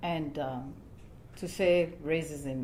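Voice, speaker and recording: A woman speaks with a Kenyan accent and a dark, mellow tone. Her pitch varies in an ordinary way, with audible room echo. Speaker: church panel speaker. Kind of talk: panel discussion.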